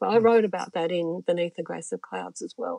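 With an Australian accent, a woman speaks in a dark, mellow tone with ordinary pitch variation, the sound dry and close with no echo. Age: 70s. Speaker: musician and author. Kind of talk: casual chat. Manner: laughs often.

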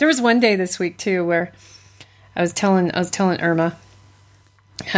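A woman at a very fast pace. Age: 40s. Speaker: podcast co-host and psychology student. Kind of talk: casual chat.

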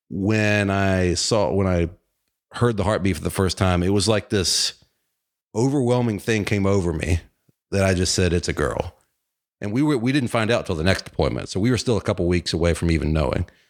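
A man with an unremarkable speaking voice talks at a fairly low pitch and a fairly quick pace. His pitch varies in an ordinary way, and the recording is very clean with a silent background. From Virginia. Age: 40s. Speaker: podcast host. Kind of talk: casual chat.

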